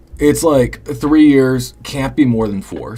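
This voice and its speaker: A man's medium-pitched voice at a fairly slow pace, with noticeable background noise. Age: 20s. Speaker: live streamer. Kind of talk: casual chat. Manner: halting.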